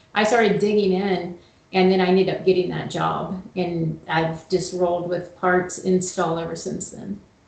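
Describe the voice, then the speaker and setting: A woman with a slight Southern US accent, flat monotone intonation, a moderate pace, audible room echo and noticeable background noise. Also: medium pitch for a woman. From US South. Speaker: HVAC operations manager. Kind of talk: casual interview chat.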